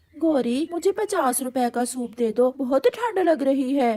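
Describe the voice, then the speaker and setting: A female-sounding voice puts on a high-pitched, cartoonish character voice. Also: moderate pace. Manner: demanding.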